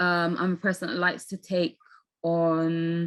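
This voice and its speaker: Pitched fairly low, a woman speaks with a Bristol accent. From England, Bristol. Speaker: landscape photographer. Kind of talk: interview.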